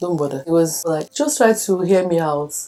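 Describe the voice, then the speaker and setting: A woman with a Nigerian accent speaks at a fairly low pitch with ordinary pitch variation. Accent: Nigerian (Yoruba) English. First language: Yoruba. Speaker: birthday documentary subject. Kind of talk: personal testimony.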